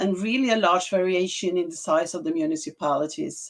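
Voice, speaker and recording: Speaking with a Norwegian accent, a woman uses a medium pitch. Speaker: health administrator. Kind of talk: conference presentation. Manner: slow; halting.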